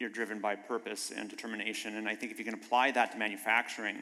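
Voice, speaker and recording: A man talks at a fairly quick pace in a bright, sharp tone. He has a slight North Dakota accent. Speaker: biotech manufacturing executive. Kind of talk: panel discussion.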